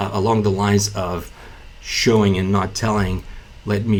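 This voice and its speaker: Fairly slow speech in a Bulgarian accent, with audible room echo. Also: man. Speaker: entrepreneur and business YouTuber. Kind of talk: casual talking-head video explainer. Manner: many fillers and self-repeats.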